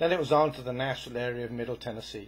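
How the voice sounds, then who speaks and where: A man talks at a very fast pace with fairly even intonation. His voice is somewhat breathy. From Wales. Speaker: storyteller. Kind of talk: storytelling monologue. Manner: occasional stammering.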